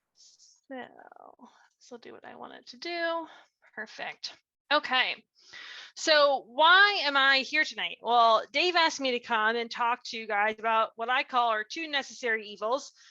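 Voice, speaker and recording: Against a quiet background, a woman speaks in a raised, projected voice, high-pitched with a bright, sharp tone, lively intonation and big swings in loudness. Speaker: nonprofit director and speaker. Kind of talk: presentation. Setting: video call from home. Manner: fast; animated.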